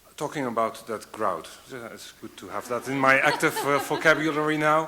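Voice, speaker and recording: Over noticeable background noise, a man with a non-native accent talks at a fairly quick pace and a fairly high pitch, with ordinary pitch variation and big swings in loudness. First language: not English. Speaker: panel moderator. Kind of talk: panel discussion. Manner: halting. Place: hall.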